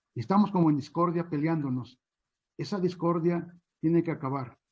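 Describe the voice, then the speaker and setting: Speaking at a moderate pace, the man has a fairly high pitch with ordinary variation. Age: 60s. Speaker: chinampa farmer. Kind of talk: panel talk. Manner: hesitant, many fillers.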